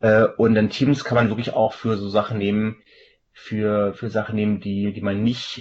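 A man speaks in an ordinary speaking voice at a moderate pace. His fairly low pitch follows fairly even intonation. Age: 40s. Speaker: software company sales manager. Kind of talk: casual tech interview.

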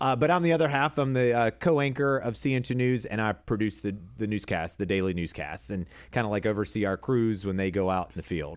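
A man with an American accent and fairly low pitch, an ordinary speaking voice, lively intonation, a fairly quick pace with hardly any pauses, on a very clean recording with a silent background. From South Carolina, Fort Lawn. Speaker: TV news anchor and producer. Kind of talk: casual chat.

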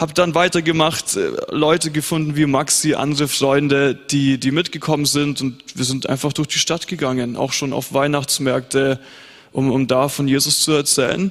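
Speaking at a moderate pace, a man has an unremarkable speaking voice, a fairly high pitch and fairly even intonation. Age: young. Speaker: pastor. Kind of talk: panel discussion on stage.

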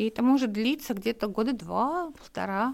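A woman's fairly high-pitched voice at a moderate pace, lively intonation, and a very clean recording with a silent background. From Dagestan, Makhachkala. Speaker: journalist and women's rights activist. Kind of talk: interview conversation. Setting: studio. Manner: animated.

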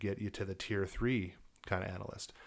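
An unremarkable speaking voice belongs to a man with an American accent, a fairly low pitch, and fairly even intonation. He talks at a moderate pace in a very clean recording with a silent background. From Colorado, Elizabeth. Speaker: security consultant. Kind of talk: interview.

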